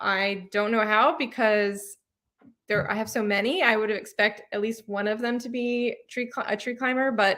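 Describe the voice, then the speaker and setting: This woman's voice is fairly high and has a bright, sharp tone, moving at a moderate pace with ordinary pitch variation in a very clean recording with a silent background. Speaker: cat adventure channel host. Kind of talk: live Q&A stream. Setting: livestream. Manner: casual, many filler ums.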